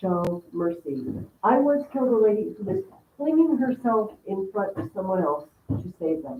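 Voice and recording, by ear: Here is someone reading aloud in a natural voice. The intonation is lively.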